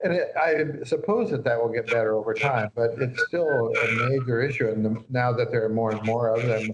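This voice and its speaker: Speaking at a fairly quick pace, a man keeps his loudness very even over noticeable background noise. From US Midwest, northeast Nebraska. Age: 70s. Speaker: psychiatrist and author. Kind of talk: interview. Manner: halting, many fillers.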